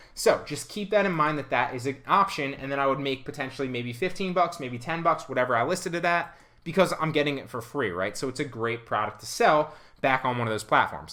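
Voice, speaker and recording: A man's fairly high-pitched voice, fairly quick in pace, with lively intonation. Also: quiet background. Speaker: online reseller and YouTuber; online reseller, YouTuber. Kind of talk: tutorial. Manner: fast; animated. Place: home room.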